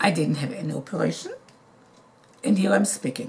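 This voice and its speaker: Her pitch swings very widely as a woman talks. Noticeable background noise is present throughout. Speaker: cancer survivor. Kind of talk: interview. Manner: clear and loud.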